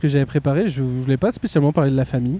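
A man's voice, fairly high-pitched, somewhat breathy, with a dark, mellow tone and ordinary pitch variation. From Beauvais, northern France. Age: 30s. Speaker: podcast host. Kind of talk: casual chat. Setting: outdoors. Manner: animated.

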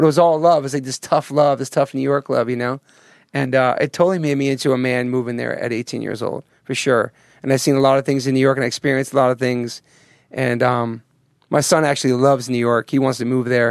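A man with an American accent talks at a very fast pace and a medium pitch. His intonation is monotone and flat, in a dry, close sound with no echo. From US Northeast. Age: 40s. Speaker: musician. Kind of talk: interview. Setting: studio.

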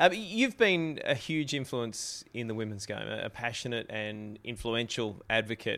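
An Australian man with a medium-pitched voice speaks at a moderate pace, barely pausing and varying his pitch in the usual way. His tone is bright and sharp, his loudness swings widely, and the recording is very clean with a silent background. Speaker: TV host and podcast interviewer. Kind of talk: interview conversation; scripted outro.

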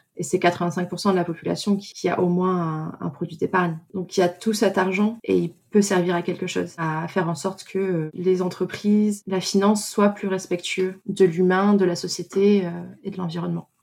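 A woman at a medium pitch speaks in a monotone, flat way with hardly any pauses. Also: moderate pace. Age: 20s. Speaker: socially responsible investment analyst. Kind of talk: testimony.

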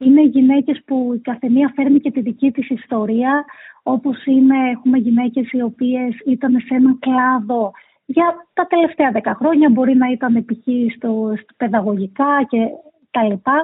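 A woman speaks at a fairly slow pace. Her pitch is high and her intonation fairly even. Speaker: nonprofit executive director. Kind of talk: interview.

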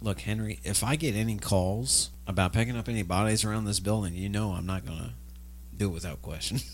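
Very wide pitch swings mark this man's very deep, low voice, which carries vocal fry at a fairly quick pace. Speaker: voice actor playing radio co-host and characters. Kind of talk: scripted comedy sketch, pitchman-style ad read. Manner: over-the-top, gushing salesman patter, absurd and animated.

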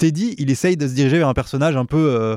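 Speaking at a fairly quick pace, a man with a dark, mellow tone and fairly high pitch shows ordinary pitch variation, in a very clean recording with a silent background and a dry, close sound with no echo. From French mountain region. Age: 30s. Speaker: comedian and writer. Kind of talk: casual chat.

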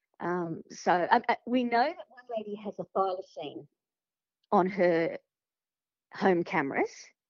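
With an Australian accent, a woman speaks with ordinary pitch variation. Her speech has long, frequent pauses. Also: medium pitch for a woman, fairly slow pace. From Sydney, Australia. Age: 50s. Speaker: podcast guest sharing paranormal experiences. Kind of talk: casual interview storytelling.

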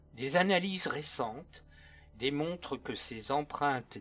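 Over music in the background, a man speaks in a solemn, dramatic tone at a medium pitch. His pace is very slow, with ordinary pitch variation. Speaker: true crime narrator and author. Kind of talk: scripted narration. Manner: solemn, dramatic, measured storytelling tone.

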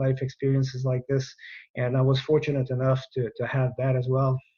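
A somewhat breathy man's voice at a moderate pace, flat and monotone, in a French Canadian accent. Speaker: retired air force general. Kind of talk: interview.

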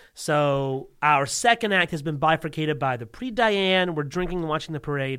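Barely pausing, a man with an American accent uses a fairly high pitch, a bright, sharp tone and lively intonation. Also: moderate pace. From US South, Alabama. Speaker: comedian. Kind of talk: casual chat. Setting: studio.

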